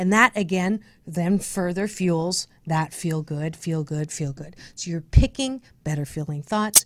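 With a plain, everyday voice and an American accent, a woman speaks at a fairly slow pace and fairly low pitch, with lively intonation and big swings in loudness, in a very clean recording with a silent background. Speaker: radio host and speaker. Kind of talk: casual radio interview. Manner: upbeat, positive.

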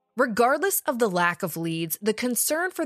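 A woman talks at a moderate pace, her pitch swinging very widely. The sound is dry and close with no echo, on a very clean recording with a silent background. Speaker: true crime podcaster. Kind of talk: true-crime narration. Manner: conversational, snarky, sarcastic.

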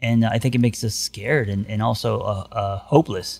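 On a very clean recording with a silent background, a man with an American accent speaks at a moderate pace, medium in pitch and fairly even in intonation. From US West Coast (Los Angeles). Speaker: therapist and life coach. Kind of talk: casual chat.

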